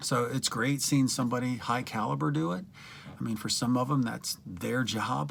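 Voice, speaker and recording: This is a man's voice. He speaks with a Midwestern American accent. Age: 60s. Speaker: retired teacher and fitness coach. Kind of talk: video application monologue. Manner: casual with frequent fillers and hesitations.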